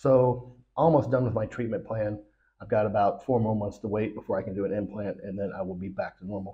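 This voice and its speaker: The voice is somewhat breathy, moving at a fairly quick clip with ordinary pitch variation. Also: man, fairly low pitch for a man. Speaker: political commentary vlogger. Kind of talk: casual monologue.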